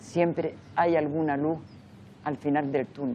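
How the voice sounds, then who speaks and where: The speaker is a woman with a very deep, low voice. She talks at a very slow pace. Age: 80s+. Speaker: memory association president, victim's daughter. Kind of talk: interview testimony. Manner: halting.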